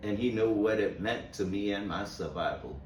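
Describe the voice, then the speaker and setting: A man speaks at a fairly slow pace in a fairly low pitch. Audible room echo and noticeable background noise surround his voice. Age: 70s. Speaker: motivational speaker on mental health. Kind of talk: inspirational monologue. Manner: halting, with repeated words.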